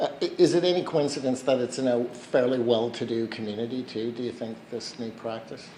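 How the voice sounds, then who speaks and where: The speech runs with hardly any pauses and fairly even intonation, set against noticeable background noise and audible room echo. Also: man, medium pitch for a man, fairly quick pace. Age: 60s. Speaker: journalist. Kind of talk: press conference questioning. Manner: hesitant, stammering.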